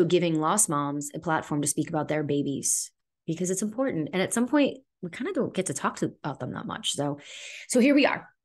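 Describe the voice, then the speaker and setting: A woman with an American accent speaks at a fairly quick pace and a fairly low pitch. Her intonation is lively, and the background is quiet. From South Florida. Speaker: podcast host. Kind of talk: casual monologue. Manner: conversational, with fillers. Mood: earnest, emotional, reflective. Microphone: studio mic.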